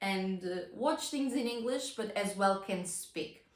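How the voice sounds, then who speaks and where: A woman's voice of medium pitch carries audible room echo. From non-English-speaking country. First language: not English. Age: young. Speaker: vlogger. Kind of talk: casual talk to camera. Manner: halting.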